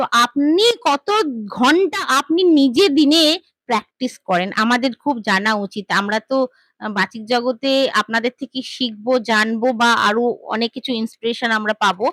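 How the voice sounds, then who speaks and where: The speaker is a woman with a high voice. Her intonation moves in a lively way. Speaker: interviewer. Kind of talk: interview questions.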